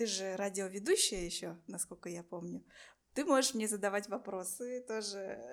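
The recording is very clean, with a silent background. A woman speaks at a medium pitch in an unremarkable speaking voice. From Buryatia, Russia. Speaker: podcast host. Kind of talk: casual interview.

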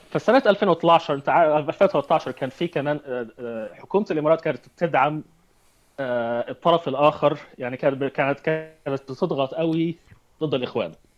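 With music in the background, a fairly high-pitched man speaks at a moderate pace, his pitch varying in an ordinary way. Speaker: entrepreneur and activist. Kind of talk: interview. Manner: halting with repetitions.

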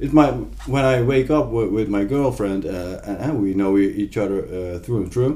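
Man with a Dutch accent at a fairly slow pace, ordinary pitch variation, audible room echo and noticeable background noise. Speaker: visual artist. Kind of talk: casual chat. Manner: halting.

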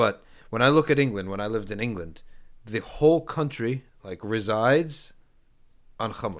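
On a very clean recording with a silent background, a man speaks at a moderate pace and medium pitch with lively intonation and long, frequent pauses. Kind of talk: casual chat. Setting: studio with live audience.

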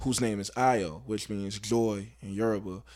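On a very clean recording with a silent background, a man with an American accent uses a normal speaking voice at a fairly low pitch and a fairly slow pace. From Baltimore, Maryland. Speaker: rapper. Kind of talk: casual interview.

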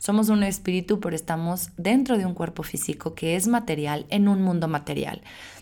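A woman talks at a moderate pace with hardly any pauses. Her medium-pitched voice has a dark, mellow tone and ordinary pitch variation. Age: 30s. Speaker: podcast host. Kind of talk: solo podcast monologue. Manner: casual with filler words.

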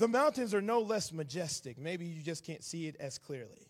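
A man talks at a moderate pace with a Southern US accent. His pitch swings very widely. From Atlanta, Georgia, US South. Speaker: visiting preacher. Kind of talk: sermon. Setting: church.

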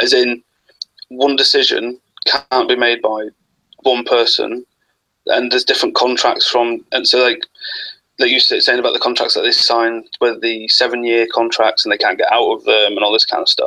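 A man with an English accent speaks at a very even loudness. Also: moderate pace. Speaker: wrestling fan. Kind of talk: casual chat. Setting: video call.

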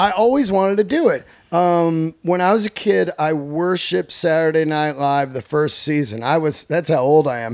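A man's unremarkable speaking voice, fairly high in pitch, with lively intonation, a moderate pace and hardly any pauses. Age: 50s. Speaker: comedian. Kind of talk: casual chat.

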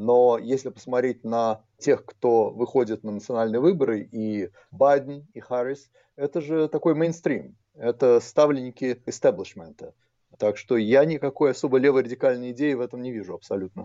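A man's normal speaking voice at medium pitch, with ordinary pitch variation, big swings in loudness and a moderate pace. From abroad, not US. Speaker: history professor. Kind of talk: interview.

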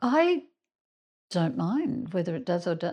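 With an Australian accent, a woman speaks at a medium pitch and a fairly slow pace, her pitch swinging very widely. The background is quiet. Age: 60s. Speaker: doctor. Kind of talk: casual group conversation.

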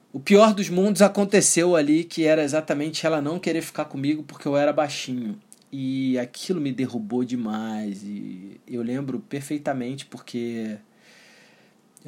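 An unremarkable speaking voice from a man, fairly high in pitch, with lively intonation at a moderate pace, on a very clean recording with a silent background. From Brazil. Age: 30s. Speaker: NLP coach and entrepreneur. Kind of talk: personal story monologue. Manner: casual.

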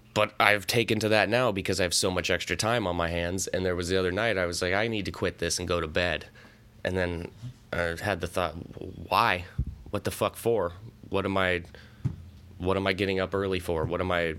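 A man with a very deep, low voice and a bright, sharp tone, in a Pacific Northwest accent, at a fairly quick pace broken by long, frequent pauses. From US Pacific Northwest, Central Washington. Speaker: podcast host, movie commentator. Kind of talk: casual solo movie commentary.

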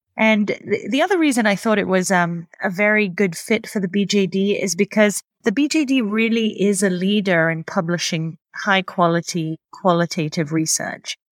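A woman's medium-pitched voice with an American accent, moderate pace, hardly any pauses, very even loudness, ordinary pitch variation, and a dry, close sound with no echo. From Greece. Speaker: deputy journal editor, dermatology professor. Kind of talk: podcast interview, relaxed.

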